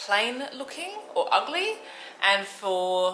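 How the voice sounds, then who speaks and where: A woman's fairly high voice with an Australian accent and very wide pitch swings, amid audible room echo and noticeable background noise. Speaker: travel vlogger. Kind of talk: casual vlog chat. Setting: outdoors, at a bar.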